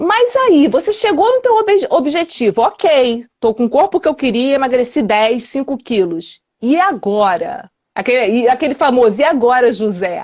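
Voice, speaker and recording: Her pitch high and swinging very widely, a woman speaks at a fairly slow pace with very even loudness. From Rio de Janeiro, Brazil. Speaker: weight loss and wellness coach. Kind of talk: interview answer.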